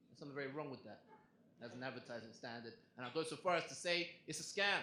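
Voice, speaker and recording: In an English accent, a man talks at a very fast pace with lively intonation and a bright, sharp tone, with audible room echo around him. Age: young. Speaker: comedian. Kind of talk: stand-up. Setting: stage with audience.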